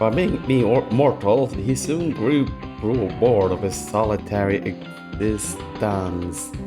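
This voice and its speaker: Music in the background behind a man's fairly low voice, very slow pace and lively intonation. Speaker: YouTuber. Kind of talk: comedic reading of fan fiction with commentary. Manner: casual, joking.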